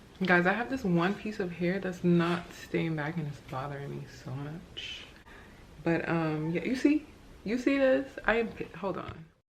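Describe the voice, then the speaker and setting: With noticeable noise behind her, a woman with a fairly low voice speaks at a fairly slow pace and with lively intonation. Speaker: beauty vlogger. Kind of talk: tutorial. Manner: casual, chatty.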